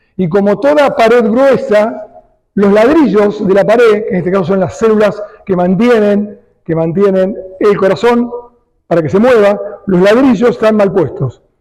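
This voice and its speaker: The speech moves at a moderate pace with very even loudness, and audible room echo surrounds it. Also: man, high pitch for a man, ordinary pitch variation. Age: 60s. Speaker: cardiologist. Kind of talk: lecture.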